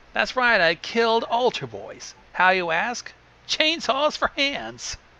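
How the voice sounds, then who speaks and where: A raspy, put-on character voice with a fairly high pitch speaks at a fairly slow pace. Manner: deliberately macabre, edgy.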